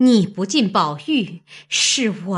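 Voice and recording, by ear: Natural-voiced reading aloud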